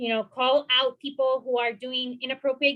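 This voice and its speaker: A woman's raised, projected voice, high in pitch and bright and sharp in tone, at a moderate pace. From Puerto Rico. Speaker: mental health professional, panelist. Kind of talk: panel discussion.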